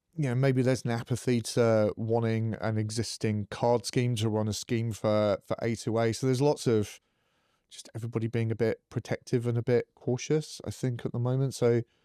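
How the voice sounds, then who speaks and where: Speaking at a moderate pace, a man with a medium pitch delivers flat, monotone intonation in a dark, mellow tone, recorded dry and close with no echo. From northern England, Middlesbrough. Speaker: fintech company founder and CEO. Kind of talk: podcast interview.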